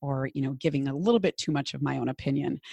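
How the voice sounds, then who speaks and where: In a very clean recording with a silent background, a woman with a strong Minnesotan accent speaks at a very deep, low pitch with vocal fry. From Minnesota, US Midwest. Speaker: business coach. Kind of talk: casual interview conversation.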